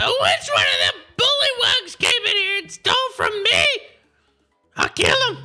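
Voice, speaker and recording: A loud, shrill, put-on character voice speaks at an extremely high pitch and a moderate pace. Long, frequent pauses break it up, with music in the background. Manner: loud, angry.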